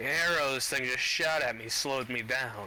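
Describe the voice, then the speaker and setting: A man puts on a gruff character voice at a medium pitch. He speaks at a moderate pace, with clear background noise. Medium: machinima. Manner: blunt, gruff, casual swearing.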